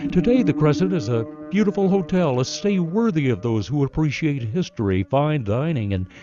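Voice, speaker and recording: Music plays in the background as a man speaks at a moderate pace. His voice is fairly high, with very wide pitch swings. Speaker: radio news reporter. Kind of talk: radio news feature narration.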